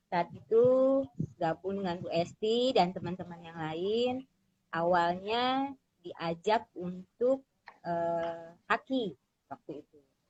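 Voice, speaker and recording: Her medium pitch has ordinary variation as this woman speaks at a very slow pace, with big swings in loudness. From Jakarta, Indonesia (Betawi family). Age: 40s. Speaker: small business owner. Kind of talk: interview self-introduction. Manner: hesitant with frequent fillers.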